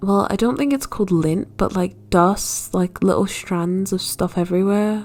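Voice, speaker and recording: A woman with a South Yorkshire accent talks at a moderate pace with hardly any pauses. Her medium pitch varies in an ordinary way, and her loudness stays very even. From northern England, South Yorkshire. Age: 20s. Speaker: art student vlogger. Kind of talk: casual voiceover chat. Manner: casual, filler-heavy.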